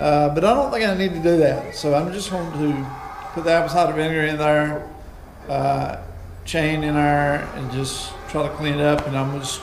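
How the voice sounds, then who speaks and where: A man talks at a moderate pace with fairly even intonation over noticeable background noise. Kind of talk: casual vlog chat. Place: garage. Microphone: camera far.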